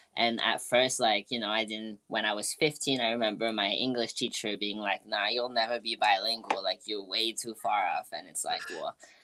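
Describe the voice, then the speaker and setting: Over noticeable background noise, a woman with a French accent and a very deep, low pitch speaks in a flat monotone at a moderate pace with hardly any pauses. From France. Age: 20s. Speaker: music producer and artist. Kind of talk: interview conversation.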